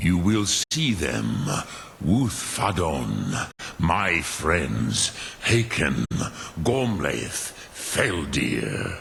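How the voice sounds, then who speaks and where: A man's put-on character voice, very deep and low, with very wide pitch swings, a very slow pace and clear background noise. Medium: video game. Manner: slow, measured, solemn.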